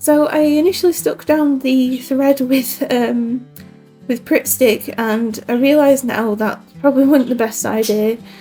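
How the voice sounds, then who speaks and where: With a British accent, a woman talks at a high pitch and a fairly slow pace, using ordinary pitch variation while music plays in the background. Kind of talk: casual crafting voiceover.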